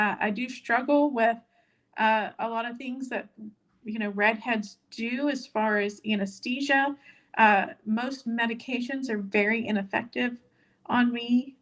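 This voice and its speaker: This woman has an ordinary speaking voice. Her pitch is fairly high. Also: fairly even intonation, fairly slow pace. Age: 50s. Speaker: weight-loss vlogger. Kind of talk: live stream chat reading viewer comments. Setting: live stream. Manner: casual, many filler words.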